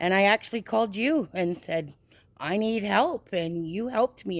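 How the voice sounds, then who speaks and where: A woman with a Canadian accent has an unremarkable speaking voice, talking at a moderate pace with ordinary pitch variation. The recording is very clean, with a silent background. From Canada, British Columbia. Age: 50s. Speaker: person in addiction recovery. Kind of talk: interview testimony.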